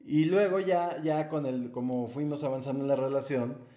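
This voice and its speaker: Speech at a moderate pace, heard with audible room echo. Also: man. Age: 40s. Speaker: adoptive father. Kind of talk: casual interview chat.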